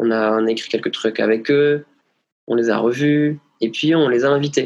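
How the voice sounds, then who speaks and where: Here a man talks at a fairly slow pace. His intonation stays fairly even. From southwestern France (Hautes-Pyrénées). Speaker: singer. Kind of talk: interview. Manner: hesitant, many fillers.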